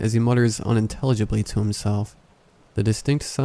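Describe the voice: Fairly even intonation in plain reading aloud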